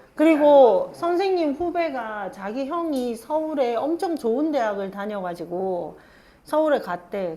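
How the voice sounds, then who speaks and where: In a Gyeongsang accent, a woman speaks very slowly with a high pitch, very wide pitch swings and a dark, mellow tone. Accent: Gyeongsang dialect, Korean. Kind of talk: casual conversational.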